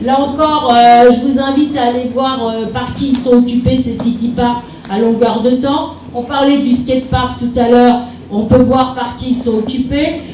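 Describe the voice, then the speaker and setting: A woman at a high pitch in flat, monotone intonation, fairly slow, with audible room echo and noticeable background noise. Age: 60s. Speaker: mayor running for re-election. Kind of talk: public meeting speech answering questions. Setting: town hall public meeting. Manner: hesitant, many fillers.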